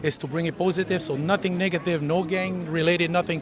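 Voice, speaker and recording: Over noticeable background noise, the speaker goes at a fairly quick pace with fairly even intonation. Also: man. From Peru. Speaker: breakdancer. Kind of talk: casual interview.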